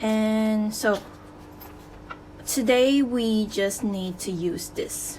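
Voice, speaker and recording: Very slow in pace, a woman speaks with fairly high pitch. Her voice is somewhat breathy and her intonation fairly even. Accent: non-native. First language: non-native English speaker. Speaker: DIY accessory maker. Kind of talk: DIY tutorial talk to camera.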